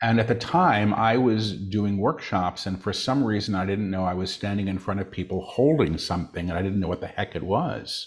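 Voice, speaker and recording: At a moderate pace with hardly any pauses, a fairly low-pitched man speaks with ordinary pitch variation in an unremarkable speaking voice against a quiet background. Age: 60s. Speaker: spiritual channel and author. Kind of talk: interview.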